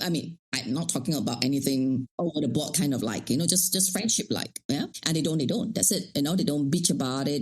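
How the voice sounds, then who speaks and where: At a fairly quick pace, a woman speaks in an animated tone. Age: 60s. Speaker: life coach. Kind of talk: interview conversation.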